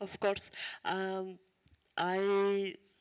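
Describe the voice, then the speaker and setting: A woman of medium pitch speaks with a strong Ukrainian accent. The sound is dry and close with no echo, in a very clean recording with a silent background. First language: Ukrainian or Russian. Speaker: refugee speaker. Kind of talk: testimony. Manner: halting.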